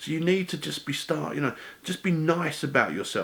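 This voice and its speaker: A man speaks in an English accent at a very fast pace. His pitch sits fairly high. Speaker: weight-loss vlogger. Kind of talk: casual vlog monologue. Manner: fast when excited; stumbling over words.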